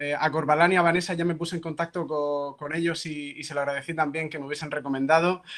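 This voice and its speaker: Very fast pace with fairly even intonation. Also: man. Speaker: psychology professor. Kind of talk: lecture.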